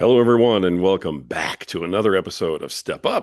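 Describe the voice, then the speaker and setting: Against a quiet background, a man talks at a moderate pace with a very deep, low pitch, lively intonation and vocal fry. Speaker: podcast host. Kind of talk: podcast introduction.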